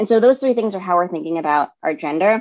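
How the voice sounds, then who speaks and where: A woman at a medium pitch with a New York accent. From New York City, Staten Island. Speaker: diversity and inclusion consultant. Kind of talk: interview.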